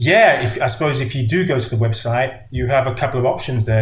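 A somewhat breathy male voice with audible room echo. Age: 50s. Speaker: movement coach and author. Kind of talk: casual chat.

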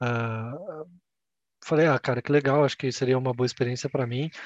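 Against a quiet background, a man with a plain, everyday voice speaks at a moderate pace, fairly high in pitch with fairly even intonation. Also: dry, close sound with no echo. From Brazil, Campinas (São Paulo state). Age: 20s. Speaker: customer experience coordinator, podcast co-host. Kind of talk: casual chat.

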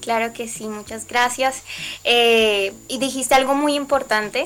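Her pitch high for a woman, she talks at a fairly slow pace with fairly even intonation. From Colombia. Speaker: singer-songwriter. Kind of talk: interview.

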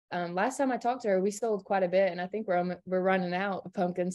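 A woman speaks with an American accent at a medium pitch. Her intonation stays fairly even over a quiet background. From Kingsport, Tennessee (Appalachia). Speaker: college student. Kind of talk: casual chat. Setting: remote call from dorm room.

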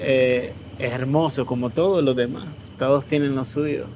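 A man at a very slow pace with noticeable background noise. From Nicaragua. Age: 30s. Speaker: refugee. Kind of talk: testimony.

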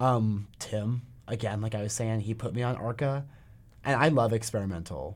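In an ordinary speaking voice with an American accent, a man talks at a medium pitch and moderate pace with ordinary pitch variation, in a very clean recording with a silent background. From North Carolina, Asheville. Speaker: college student. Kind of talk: casual chat.

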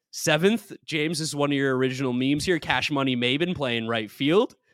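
A man speaks at a fairly high pitch with lively intonation. The sound is dry and close, with no echo. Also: very clean recording, silent background. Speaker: sports podcast host. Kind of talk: casual chat. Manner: fast talker.

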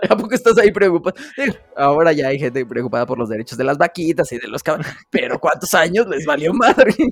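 A man talks at a very fast pace. His fairly high voice swings very widely in pitch. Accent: Mexican. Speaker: podcast co-host. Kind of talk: casual chat.

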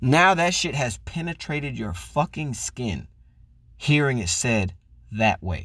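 Over a silent background in a very clean recording, a man talks at a fairly slow pace with vocal fry and very wide pitch swings. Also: medium pitch for a man. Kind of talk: angry rant. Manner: heated, loud, profane and indignant.

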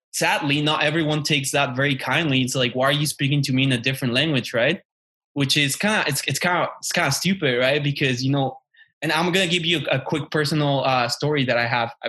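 A bright, sharp tone with a Mexican accent, a very fast pace, fairly even intonation and very even loudness, over a quiet background. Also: man, fairly high pitch for a man. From Mexico. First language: Spanish. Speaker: podcast co-host. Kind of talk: casual chat.

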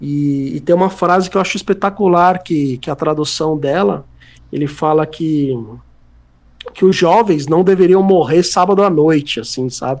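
A man's ordinary speaking voice, fairly high-pitched, at a moderate pace with ordinary pitch variation. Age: 30s. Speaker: music journalist and writer. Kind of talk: casual interview chat.

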